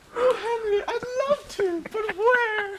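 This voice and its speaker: Using a squeaky put-on character voice, a woman speaks fairly slowly at an extremely high pitch with ordinary pitch variation. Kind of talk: comic melodramatic period acting. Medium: stage play.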